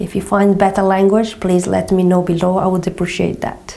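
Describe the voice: Speaking at a moderate pace with a Portuguese accent, a woman uses a medium pitch, a dark, mellow tone, vocal fry and little pitch movement, with audible room echo around her.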